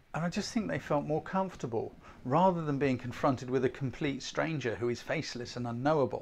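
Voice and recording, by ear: A man with a medium-pitched voice speaks with ordinary pitch variation and some vocal fry. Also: fairly quick pace.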